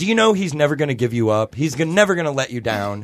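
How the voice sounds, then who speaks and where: A man with a fairly high pitch and an American accent, very wide pitch swings, and a very fast pace. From US Midwest. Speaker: podcast host. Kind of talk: casual chat.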